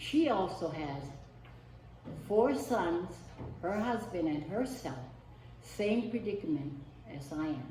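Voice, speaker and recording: In a Hawaiian accent, a woman speaks at a very slow pace with long, frequent pauses, her fairly low pitch making very wide swings, amid noticeable background noise and audible room echo. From Hawaii, East Maui. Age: 70s. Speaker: community member giving testimony. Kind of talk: public testimony.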